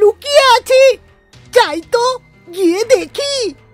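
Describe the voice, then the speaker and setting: A cartoonish character voice, extremely high-pitched and fairly slow, with faint music in the background. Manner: wheedling, stammering before the lion.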